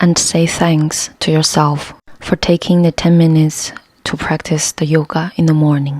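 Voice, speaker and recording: A woman's very deep, low voice with a non-native accent, calm in tone, monotone and flat, at very even loudness, in a dry, close sound with no echo. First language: not English. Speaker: yoga instructor. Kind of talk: guided yoga class. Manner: calm, slow.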